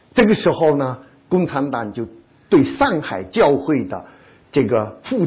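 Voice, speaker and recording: A man's voice comes across somewhat breathy. He keeps a moderate pace. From China. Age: 70s. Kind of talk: testimony. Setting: church.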